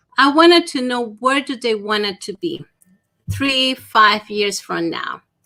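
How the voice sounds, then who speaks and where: A woman's high, bright, sharp voice with lively intonation, in a Spanish accent, at a fairly slow pace. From Dominican Republic. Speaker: small business consultant. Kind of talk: interview.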